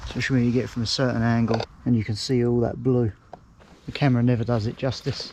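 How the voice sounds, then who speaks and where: A man talks at a very fast pace in a monotone, flat intonation. Noticeable background noise can be heard. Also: medium pitch for a man. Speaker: outdoors vlogger. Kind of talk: casual vlog narration. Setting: outdoors in woods.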